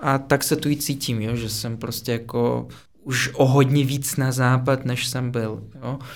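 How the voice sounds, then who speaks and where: A man with a medium-pitched voice speaks at a fairly slow pace. His intonation is monotone and flat. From Russia, Moscow. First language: Russian (speaking Czech). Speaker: podcast guest, former international student. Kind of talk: casual chat.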